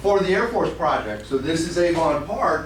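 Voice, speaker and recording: A man talks at a moderate pace with a high pitch and ordinary pitch variation. Noticeable background noise and audible room echo surround his voice. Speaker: conservation scientist. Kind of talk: conference talk.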